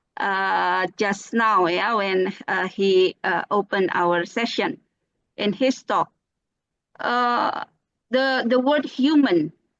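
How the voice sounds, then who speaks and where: Speaking very slowly with an Indonesian accent, a woman uses lively intonation in a dry, close sound with no echo. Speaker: speaker at a teachers' webinar. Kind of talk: webinar presentation. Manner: hesitant, many fillers. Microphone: voice muffled by mask but clear.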